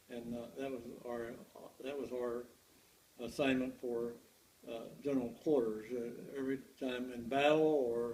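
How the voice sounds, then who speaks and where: In a room with audible echo, a man at medium pitch speaks with monotone, flat intonation and long, frequent pauses. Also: moderate pace. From Kentucky. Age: 80s+. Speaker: war veteran. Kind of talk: oral history interview. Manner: halting.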